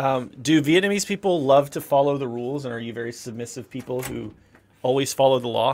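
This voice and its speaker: A man talks at a fairly quick pace in an American accent, with a plain, everyday voice at medium pitch. His pitch varies in an ordinary way, while his loudness swings widely. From US South, South Carolina. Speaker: teacher and streamer. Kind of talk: casual chat. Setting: livestream.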